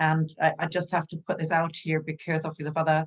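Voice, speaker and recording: A woman speaks with a German accent. Her pitch is very deep and low. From Germany. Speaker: health coach. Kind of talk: interview. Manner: animated.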